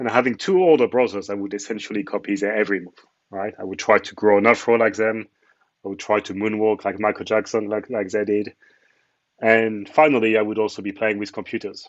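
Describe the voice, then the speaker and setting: A man with a French accent talks at a fairly quick pace and keeps his intonation fairly even. His loudness swings widely. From France. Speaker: cloud architect, conference speaker. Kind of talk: conference talk.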